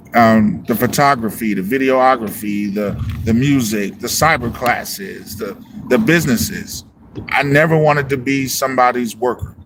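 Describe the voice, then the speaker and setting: Against noticeable background noise, a man talks at a moderate pace with lively intonation and medium pitch. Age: 40s. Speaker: music producer and livestream host. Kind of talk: motivational livestream talk. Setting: live stream. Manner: animated.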